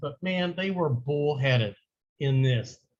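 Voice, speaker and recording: A man with a Southern US accent speaks at a fairly high pitch in a somewhat breathy voice. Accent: US South. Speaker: high school history teacher. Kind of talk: lecture.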